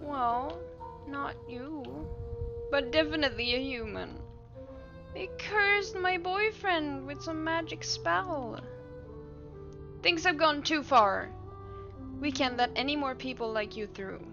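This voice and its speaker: A put-on character voice moves at a fairly slow pace with long, frequent pauses. Clear music plays in the background. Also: female-sounding voice. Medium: virtual streamer. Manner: upset, defensive.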